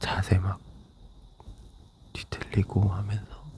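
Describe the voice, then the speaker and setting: The speaker is whispering and soft-spoken. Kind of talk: ASMR casual whispered chat. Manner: whispered.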